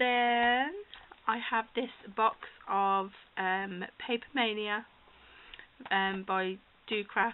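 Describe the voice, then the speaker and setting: Over light background noise, a woman with a British accent speaks at a very slow pace, fairly high in pitch with fairly even intonation. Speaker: crafter hosting a giveaway. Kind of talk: casual talk to camera. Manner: hesitant, many fillers. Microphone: phone near.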